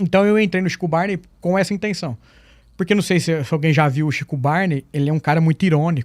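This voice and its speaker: Talking at a very fast pace in a high pitch, a man is heard in a dry, close recording with no echo. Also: ordinary pitch variation. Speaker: school teacher. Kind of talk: casual chat. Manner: fluent, trained speech.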